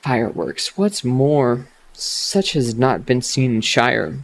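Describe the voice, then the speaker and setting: The speaker is soft-spoken, with a calm tone, lively intonation and a fairly slow pace. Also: man. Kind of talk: reading a fantasy novel aloud for relaxation. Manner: soft-spoken, calm.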